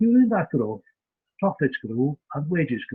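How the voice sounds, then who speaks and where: This man speaks with a Welsh accent. His pitch sits fairly high. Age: 70s. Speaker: community development lecturer. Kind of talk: lecture. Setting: video call. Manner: halting with frequent fillers.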